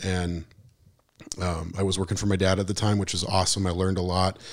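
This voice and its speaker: Very deep and low, this man's voice moves at a very fast pace in a flat monotone. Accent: American. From Montana, Missoula. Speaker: musician and marketer, transplant resident. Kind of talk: casual interview.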